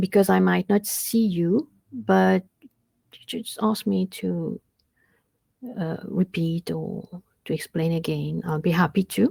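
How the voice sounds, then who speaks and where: A woman speaks at a very slow pace with big swings in loudness, recorded with a dry, close sound and no echo. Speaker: university lecturer. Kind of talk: online lecture. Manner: hesitant, many fillers.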